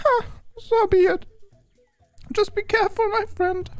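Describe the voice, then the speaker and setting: An extremely high pitch in a put-on character voice. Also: moderate pace. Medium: game stream. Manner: solemn, refers to itself in third person.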